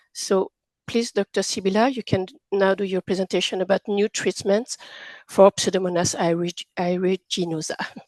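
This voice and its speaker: A woman with a French accent speaks at a medium pitch in monotone, flat intonation. The sound is dry and close, with no echo. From France. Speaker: patient representative and session chair. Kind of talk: formal introduction.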